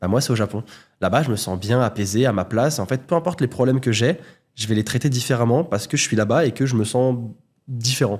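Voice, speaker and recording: Very fast speech with ordinary pitch variation, in a very clean recording with a silent background. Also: man, medium pitch for a man. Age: 20s. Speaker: YouTuber, content creator. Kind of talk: podcast interview.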